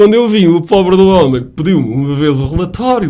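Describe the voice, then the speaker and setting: A man speaks in a high voice with an animated tone and lively intonation. Noticeable background noise is present. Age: 60s. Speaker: author, retired sales manager. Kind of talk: radio interview. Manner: animated storytelling.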